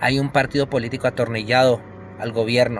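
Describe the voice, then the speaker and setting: A man speaks over noticeable background noise. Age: 40s. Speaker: podcaster. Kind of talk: opinion monologue. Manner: halting.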